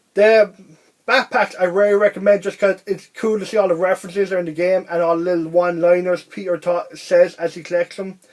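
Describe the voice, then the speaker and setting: Talking at a fairly quick pace, a man with an Irish accent uses a high pitch and monotone, flat intonation. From Ireland. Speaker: video game reviewer. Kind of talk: casual video review monologue. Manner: fast; rambling, halting with restarts.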